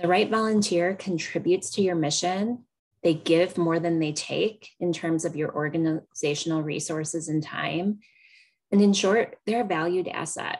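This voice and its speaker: A woman with a normal speaking voice, fairly low in pitch, at a moderate pace with fairly even intonation. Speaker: extension educator presenting on volunteer management. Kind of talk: webinar presentation.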